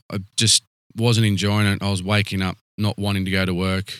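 With an Australian accent, a man speaks at a moderate pace and a fairly low pitch. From Canberra, Australia. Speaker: rural fire service chief officer. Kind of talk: interview. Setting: fire station on location.

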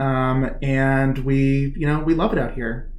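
A man's medium-pitched voice in audible room echo. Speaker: chair of a political action committee. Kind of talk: interview. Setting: home garage studio.

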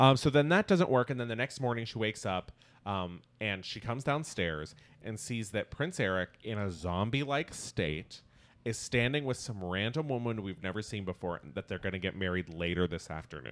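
With lively intonation and a moderate pace, a man talks in an unremarkable speaking voice on a very clean recording with a silent background. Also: fairly low pitch for a man. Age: 30s. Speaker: podcast host and comedian. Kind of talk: casual chat.

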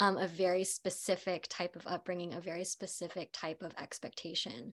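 Speaking with an American accent, a woman uses a normal speaking voice at medium pitch and moderate pace on a very clean recording with a silent background. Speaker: actress. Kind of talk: panel discussion.

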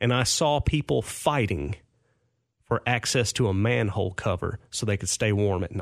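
An ordinary speaking voice with an American accent moves at a moderate pace with lively intonation. The sound is dry and close with no echo, in a very clean recording with a silent background. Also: man, fairly low pitch for a man. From Clarksville, Tennessee (US South). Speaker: banker and community volunteer. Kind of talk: casual interview. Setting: studio.

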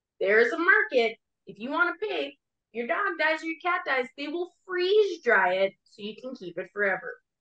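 A woman's raised, projected voice, high in pitch and bright and sharp in tone, with very wide pitch swings, big swings in loudness and a moderate pace. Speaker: podcast co-host, hockey mom.

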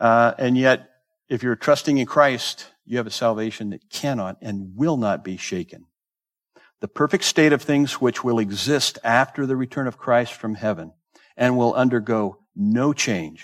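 A man with an American accent and an unremarkable speaking voice talks at a moderate pace at medium pitch with ordinary pitch variation, recorded in a dry, close sound with no echo. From Southern California. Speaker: pastor. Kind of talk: sermon. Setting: church.

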